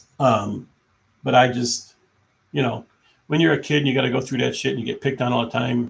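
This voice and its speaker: Vocal fry at a fairly quick pace. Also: man. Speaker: live streamer. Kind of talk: casual chat. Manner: halting. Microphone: laptop mic.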